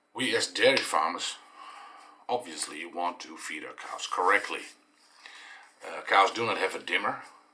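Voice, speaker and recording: A man with a Dutch accent speaks at a fairly low pitch with ordinary pitch variation. His speech has long, frequent pauses. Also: moderate pace, big swings in loudness. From eastern Netherlands. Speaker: dairy farmer and vlogger. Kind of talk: explanatory vlog monologue. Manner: halting, many fillers.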